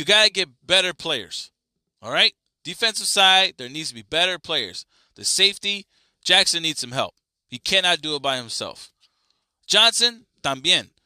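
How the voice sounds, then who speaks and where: Recorded very clean with a silent background and a dry, close sound with no echo, a man speaks at a moderate pace and high pitch in a bright, sharp, animated tone, with lively intonation, big swings in loudness and long, frequent pauses. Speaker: sports podcast host. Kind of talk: solo sports commentary.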